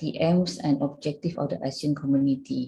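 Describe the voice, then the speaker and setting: A woman's somewhat breathy voice with a dark, mellow tone, ordinary pitch variation and a moderate pace. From Indonesia. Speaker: association secretary general. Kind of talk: presentation. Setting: video call. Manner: halting, many fillers.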